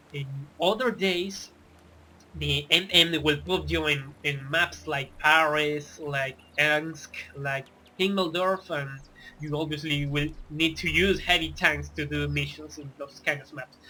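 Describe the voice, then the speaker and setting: Speaking at a fairly slow pace with a non-native accent, a man uses a fairly high pitch and fairly even intonation, with big swings in loudness. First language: not English. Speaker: gaming tutorial youtuber. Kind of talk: tutorial. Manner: casual, with hesitations and self-corrections.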